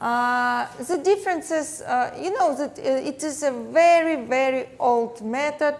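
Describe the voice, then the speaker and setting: In a Russian accent, a woman speaks fairly slowly with hardly any pauses, her high voice full of lively intonation. Audible room echo surrounds the recording. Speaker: plastic surgeon and dermatologist. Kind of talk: lecture. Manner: halting, many fillers.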